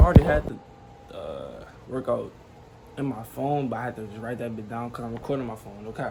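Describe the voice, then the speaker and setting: Talking fairly quickly, a man is heard with audible room echo. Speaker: vlogger. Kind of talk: casual vlog talk. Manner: quiet, keeping voice down.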